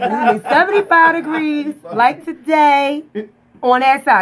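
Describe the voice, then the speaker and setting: A loud, animated tone with lively intonation. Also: woman. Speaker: faith-based talk show host. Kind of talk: livestream interview with altar call. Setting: live social media stream. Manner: animated, preachy.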